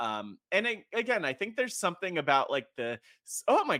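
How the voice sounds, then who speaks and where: A man speaks with an animated, bright, sharp tone, very wide pitch swings, and vocal fry in a very clean recording with a silent background. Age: 30s. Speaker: reality TV contestant. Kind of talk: casual chat.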